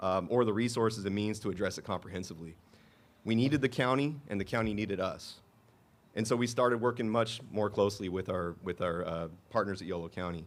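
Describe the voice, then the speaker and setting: A man with an American accent, fairly low in pitch, with ordinary pitch variation and a very fast pace, on a very clean recording with a silent background. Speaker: city manager. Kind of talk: public speech at dedication event.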